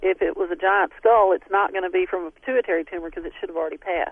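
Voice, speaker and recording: A woman with a Southern US accent, medium pitch and ordinary pitch variation. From Texas. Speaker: DNA researcher. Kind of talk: radio interview.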